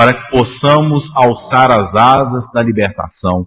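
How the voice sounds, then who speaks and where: With a Minas Gerais accent, a man talks at a fairly slow pace in a medium pitch with ordinary pitch variation. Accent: Minas Gerais (mineiro). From Minas Gerais, Brazil. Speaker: spiritist lecturer. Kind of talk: lecture. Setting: spiritist center public meeting.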